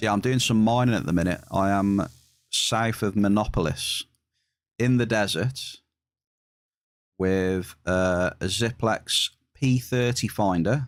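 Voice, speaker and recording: A man with a West Midlands accent speaks fairly slowly at a fairly low pitch, with very even loudness and long, frequent pauses. The recording is very clean with a silent background. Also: ordinary pitch variation. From England, West Midlands. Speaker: video game streamer. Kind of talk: live stream chat. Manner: casual, chatty.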